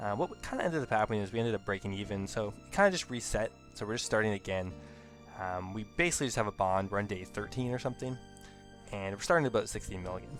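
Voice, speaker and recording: Over music in the background, the speech runs at a very fast pace with ordinary pitch variation. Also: man, fairly low pitch for a man. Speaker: gaming video creator. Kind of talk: casual gameplay commentary.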